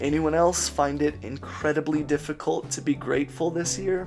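A man talks fairly slowly, with clear music in the background. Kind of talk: sermon. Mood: earnest, vulnerable. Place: home room. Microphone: studio mic.

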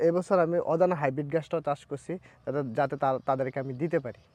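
Recorded with a dry, close sound and no echo, a man talks in an unremarkable speaking voice. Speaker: grass farmer. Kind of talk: casual interview.

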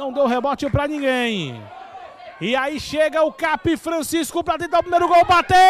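Noticeable background noise sits behind this recording. A man speaks at an extremely high pitch. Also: ordinary pitch variation, moderate pace. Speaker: football commentator. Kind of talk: live football commentary. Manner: animated, breathless, with bursts of laughter.

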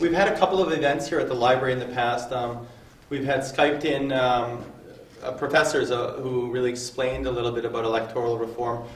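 A man's very fast speech, fairly even in intonation, with audible room echo and light background noise. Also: medium pitch for a man. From Canada. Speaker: workshop moderator. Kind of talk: public talk. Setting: public workshop with audience. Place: hall.

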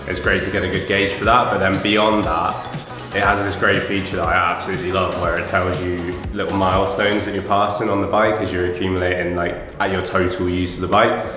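A man speaking in a flat monotone, with audible room echo and clear background music. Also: fairly low pitch for a man, fairly quick pace. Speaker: interviewee. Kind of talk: interview answer. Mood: cheerful, relaxed. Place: home room.

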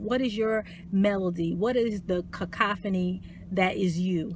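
A woman speaks with fairly even intonation and a somewhat breathy voice. The sound is dry with no echo, though noticeable background noise is present. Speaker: life coach. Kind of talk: motivational talk. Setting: live video stream. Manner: soft-spoken. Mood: warm, encouraging. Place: car. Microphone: phone near.

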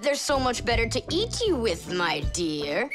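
A woman's put-on character voice at a moderate pace, with clear music in the background. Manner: funny, comic.

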